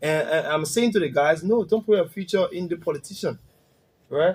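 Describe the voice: A man speaks at a moderate pace and a fairly high pitch, with ordinary pitch variation. His tone is slightly mellow with a slightly husky edge.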